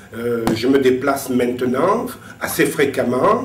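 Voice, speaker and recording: The speech moves at a very slow pace, with noticeable background noise and audible room echo. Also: man. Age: 60s. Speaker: retired civil servant, visually impaired. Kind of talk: testimony. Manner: halting, repeats words.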